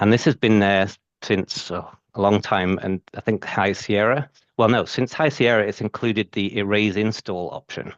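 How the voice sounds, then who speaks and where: Against a quiet background, a man with a fairly low pitch speaks with fairly even intonation, the sound dry and close with no echo. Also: moderate pace. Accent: British. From UK. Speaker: IT systems engineer presenter. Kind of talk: technical presentation.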